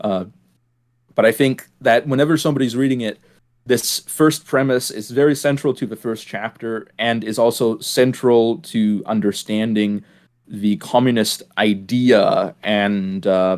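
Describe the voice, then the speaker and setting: A man speaks at a fairly slow pace with a medium pitch. His pitch variation is ordinary. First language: German. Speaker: podcast host. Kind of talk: casual discussion. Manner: hesitant, many fillers and repeats.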